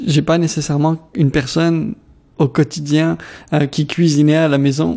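A dark, mellow tone marks a man's voice set at a fairly high pitch. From DR Congo, Kinshasa (Lebanese family). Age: 20s. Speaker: community organization worker, radio contributor. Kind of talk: personal testimony interview. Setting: radio studio.

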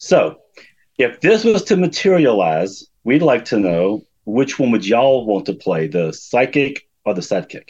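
Fairly slow speech with vocal fry and very wide pitch swings. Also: man, medium pitch for a man. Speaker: fan. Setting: video call. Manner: halting, many filler words.

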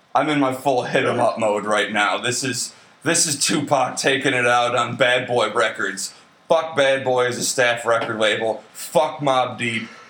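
Over noticeable background noise, a man speaks in an animated tone at a medium pitch and a fairly slow pace. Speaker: podcast host. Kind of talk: crude comedic banter, drunk. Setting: late-night recording in San Antonio. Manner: profane, joking, animated.

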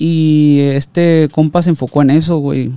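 Dark and mellow in tone, this man's voice sits at a fairly high pitch. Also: dry, close sound with no echo. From Sinaloa, Mexico (Ruiz Cortines, Los Mochis area). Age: 30s. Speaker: music producer. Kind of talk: casual chat. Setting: studio.

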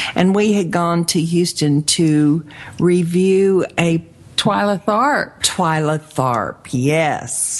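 A woman at a very slow pace and fairly low pitch, with ordinary pitch variation and very even loudness, over noticeable background noise. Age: 50s. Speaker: radio host and life coach. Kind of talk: radio interview.

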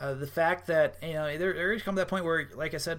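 In an American accent, a man with a fairly high pitch speaks at a fairly quick pace with ordinary pitch variation. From Wisconsin. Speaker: college football writer. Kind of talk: casual sports interview. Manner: halting, many fillers.

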